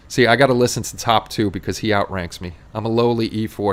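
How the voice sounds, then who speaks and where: A man with a New York accent talks at a fairly low pitch with ordinary pitch variation. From New York City, Queens. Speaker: model-making livestream host. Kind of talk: casual chat. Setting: livestream. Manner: fast; sometimes loud.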